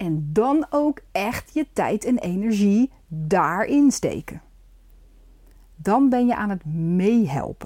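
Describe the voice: This woman's voice has a dark, mellow tone. She speaks slowly, with big pitch swings. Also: medium pitch for a woman.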